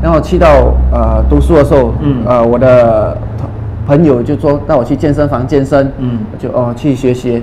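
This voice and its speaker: Speaking at a moderate pace, the man is heard over light background noise. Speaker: guest fitness chat partner. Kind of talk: casual chat. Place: studio. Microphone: lapel.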